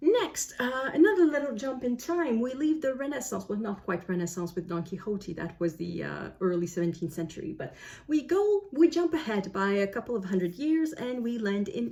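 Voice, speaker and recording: Speaking with a French Canadian accent, a woman talks at a moderate pace with hardly any pauses, a medium pitch and very wide pitch swings, over noticeable background noise. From Canada. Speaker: book vlogger. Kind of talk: casual monologue. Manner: hesitant, with many fillers.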